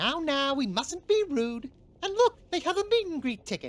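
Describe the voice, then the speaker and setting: A woman's high-pitched put-on character voice with very wide pitch swings. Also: moderate pace. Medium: video game. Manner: warm but firm.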